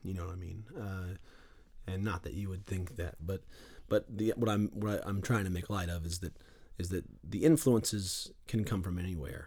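A man with an American accent speaks in a very deep, low voice that is somewhat breathy, with a dark, mellow tone and ordinary pitch variation. His pace is moderate, broken by long, frequent pauses. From Western North Carolina, Boone area. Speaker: singer-songwriter, guitarist. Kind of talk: interview, casual chat. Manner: halting, many fillers and repeats.

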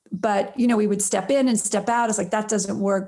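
Her voice is dark and mellow in tone and somewhat breathy as this woman speaks. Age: 50s. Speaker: prison reform nonprofit founder and filmmaker. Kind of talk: interview. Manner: halting.

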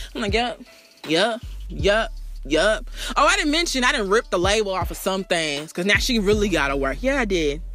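A woman's animated, medium-pitched voice with very wide pitch swings at a moderate pace, music in the background. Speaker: radio host. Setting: radio show. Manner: animated, sassy, punchy, repeating the "bitch" tag for comic effect.

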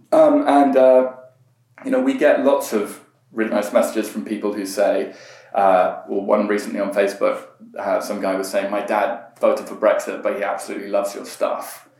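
At a moderate pace, a man talks with audible room echo around his voice. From Iran, raised partly in Britain. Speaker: political campaigner. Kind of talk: casual chat. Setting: in person interview. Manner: hesitant, many fillers.

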